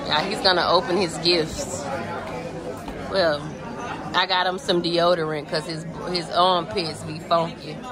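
Over crowd noise in the background, a woman speaks at a fairly slow pace with long, frequent pauses. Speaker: vlogger. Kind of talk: casual vlog chat. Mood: playful, joking. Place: cafe. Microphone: phone near.

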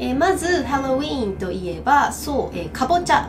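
A woman talks at a moderate pace. Noticeable background noise runs underneath. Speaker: English teacher. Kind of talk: casual lesson talk to camera. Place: classroom.

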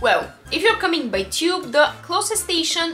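Over faint music in the background, a woman uses a raised, projected voice. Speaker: travel vlogger. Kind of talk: travel guide talk to camera. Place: home room.

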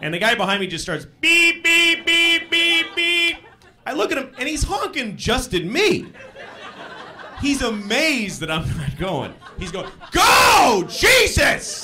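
A man uses a raised, projected voice at a very slow pace. Light background noise can be heard. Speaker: stand-up comedian. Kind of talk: stand-up comedy routine. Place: stage. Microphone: handheld.

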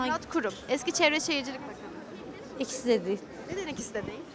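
Crowd noise fills the background as a woman talks very fast with lively intonation. The sound itself is dry, with no echo. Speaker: street interviewer. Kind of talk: street interviews. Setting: outdoors on the street. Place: street. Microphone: handheld.

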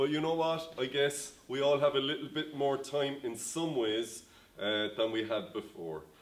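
At a moderate pace, a man speaks, his pitch varying in an ordinary way. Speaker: pastor. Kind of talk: sermon. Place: home room.

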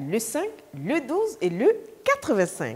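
The pitch moves in very wide swings. The speaker is a woman. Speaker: TV presenter. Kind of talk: broadcast announcement. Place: studio.

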